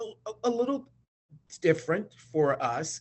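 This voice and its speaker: This man talks at a fairly slow pace. His intonation is lively. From US South, North Carolina. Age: 60s. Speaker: oral history interviewee. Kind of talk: oral history interview. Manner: hesitant, many fillers.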